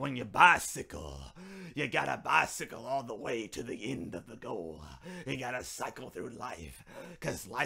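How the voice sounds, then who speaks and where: A raspy put-on character voice from a man, medium in pitch, at a moderate pace, with very wide pitch swings. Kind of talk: sermon delivery. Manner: emphatic, driving home final points.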